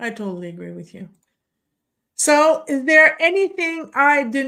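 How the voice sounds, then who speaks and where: A woman with a French Canadian accent, very slow, with lively intonation and a bright, sharp tone. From Quebec. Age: 50s. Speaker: podcast host. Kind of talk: interview. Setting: video call.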